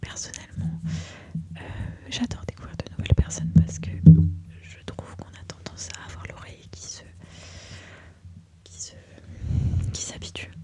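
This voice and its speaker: Whispering at a moderate pace, a woman is heard through noticeable background noise. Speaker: ASMR creator and makeup enthusiast. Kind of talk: casual talk to camera, ASMR introduction. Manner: soft, close-mic whisper.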